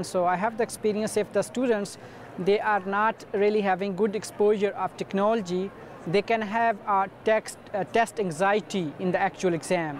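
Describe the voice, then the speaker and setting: Speaking in a Pakistani accent, a man uses a high pitch and a moderate pace. His intonation is fairly even and his loudness very even. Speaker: university student and former TOEFL teacher. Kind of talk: advice talk to camera. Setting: conference booth.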